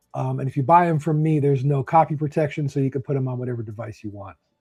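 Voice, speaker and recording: Over music in the background, a man talks in a fairly high pitch with ordinary pitch variation. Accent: New Jersey. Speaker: author. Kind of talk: interview.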